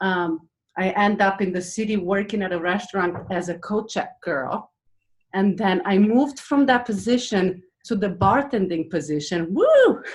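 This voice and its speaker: A woman speaks in a Romanian accent at a moderate pace and medium pitch. Her voice is somewhat breathy, with ordinary pitch variation. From Romania, Transylvania. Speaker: former fitness magazine editor and restaurant owner. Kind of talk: panel talk, life story.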